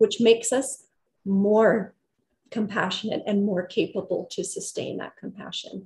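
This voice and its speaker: A woman speaks at a moderate pace and medium pitch. Her voice is somewhat breathy, with a dark, mellow tone. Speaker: physiotherapist and yoga therapist; presenter. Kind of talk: guided meditation, calm body-awareness instructions; lecture presentation. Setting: video call presentation. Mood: warm, calm. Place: home room. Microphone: earbuds.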